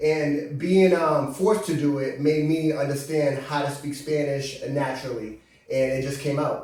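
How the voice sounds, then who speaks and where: Through noticeable background noise and audible room echo, a man with an American accent speaks at a moderate pace, his fairly high pitch carrying fairly even intonation. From Brockton, Massachusetts. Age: 30s. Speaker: visiting cousin, filmmaker and investor. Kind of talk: casual interview.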